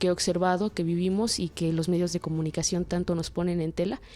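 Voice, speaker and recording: Over music in the background, a woman speaks in a fairly low, flat monotone. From Mexico, Chiapas, Comitán. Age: 20s. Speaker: anthropology student. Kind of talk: interview. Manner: halting, many fillers and repetitions.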